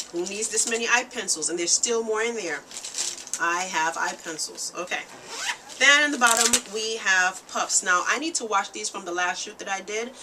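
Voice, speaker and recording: A woman's medium-pitched voice with ordinary pitch variation, against noticeable background noise. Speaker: makeup artist and beauty vlogger. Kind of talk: tutorial. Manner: fast; casual.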